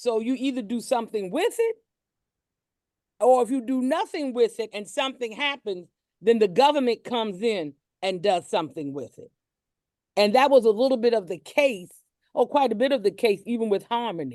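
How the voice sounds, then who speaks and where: Over a quiet background, a woman with a dark, mellow tone and fairly high pitch speaks at a moderate pace with lively intonation and long, frequent pauses, in a dry, close sound with no echo. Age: 60s. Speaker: cemetery board member and library worker. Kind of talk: panel discussion.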